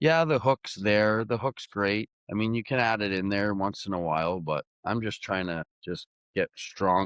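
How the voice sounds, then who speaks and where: An ordinary speaking voice from a man with a Canadian accent, fairly low in pitch, at a moderate pace with ordinary pitch variation. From Canada. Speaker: arm wrestler. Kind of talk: interview. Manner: casual, conversational.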